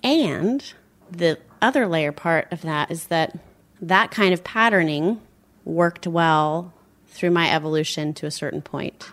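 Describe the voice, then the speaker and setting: A woman with an unremarkable speaking voice talks at a fairly low pitch and fairly slow pace with ordinary pitch variation, on a very clean recording with a silent background. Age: 40s. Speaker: dancer and somatic therapist. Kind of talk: casual chat.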